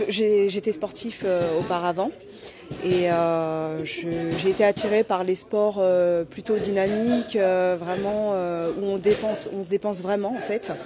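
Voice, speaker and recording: Music plays in the background as a woman speaks very slowly at a medium pitch with ordinary pitch variation. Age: 30s. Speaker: amateur boxer. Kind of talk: interview. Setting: boxing gala venue. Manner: halting, many fillers.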